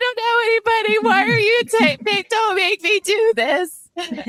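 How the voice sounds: In a put-on character voice, someone speaks whiny and extremely high-pitched at a fairly slow pace.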